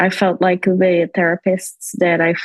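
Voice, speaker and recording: A woman speaks with a Portuguese accent. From Brazil. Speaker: immigrant physician sharing her experience. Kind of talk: podcast interview, personal testimony. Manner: halting, with fillers and restarts.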